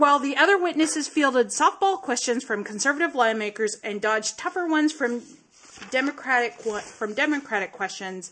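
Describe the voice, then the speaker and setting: This woman speaks in a high pitch with an American accent. Her intonation is lively and her pace fairly quick. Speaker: podcast co-host. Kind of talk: casual chat, comedic banter.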